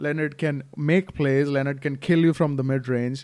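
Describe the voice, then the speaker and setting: With an American accent and an ordinary speaking voice, a man of fairly high pitch talks at a moderate pace with fairly even intonation on a very clean recording with a silent background. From outside the US. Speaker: basketball podcast host. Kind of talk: casual chat.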